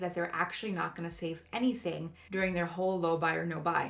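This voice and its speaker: This woman's fairly low voice comes through over noticeable background noise. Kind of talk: casual talk to camera about budgeting. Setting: home recording with new mic, occasional clipping.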